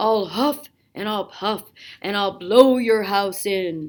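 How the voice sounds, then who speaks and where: A raspy, menacing put-on character voice at a fairly slow pace, in a very clean recording with a silent background. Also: woman, medium pitch for a woman. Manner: growling, menacing.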